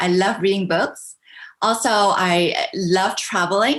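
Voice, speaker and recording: This voice belongs to a woman. She talks at a medium pitch. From Canada, Vancouver. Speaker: business coach. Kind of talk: interview. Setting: video call.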